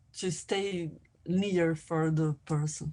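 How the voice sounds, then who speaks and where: Against a quiet background, a woman with a Portuguese accent speaks at a very slow pace with fairly even intonation. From Brazil. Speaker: filmmaker and anthropologist. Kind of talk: academic workshop presentation. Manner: halting, with many repetitions.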